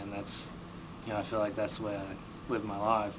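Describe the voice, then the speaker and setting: With an Appalachian accent, a man speaks in a fairly low voice amid noticeable background noise and audible room echo. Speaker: college student interviewee. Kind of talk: interview.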